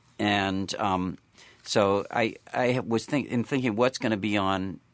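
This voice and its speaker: With an American accent and a plain, everyday voice, a man speaks at a fairly low pitch with ordinary pitch variation in a very clean recording with a silent background. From US Northeast, western Massachusetts. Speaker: music professor and horn player. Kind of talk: interview.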